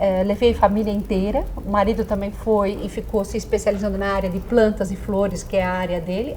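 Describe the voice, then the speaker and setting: Noticeable background noise and audible room echo surround the speech. The pace is moderate. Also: woman. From Brazil, Dutch family farm (Holambra region, São Paulo). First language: Dutch (speaking Portuguese). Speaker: psychologist. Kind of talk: interview.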